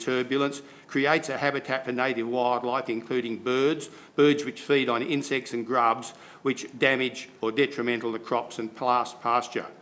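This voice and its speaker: A man with an Australian accent at a moderate pace, his intonation monotone and flat. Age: 70s. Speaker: farmer. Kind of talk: public submission. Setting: council meeting.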